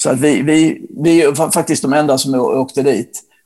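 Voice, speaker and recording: Dark and mellow in tone, a man talks with fairly even intonation. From Sweden, Blekinge (Ronneby). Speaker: rock journalist. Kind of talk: casual interview chat. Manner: halting, with repetitions and fillers.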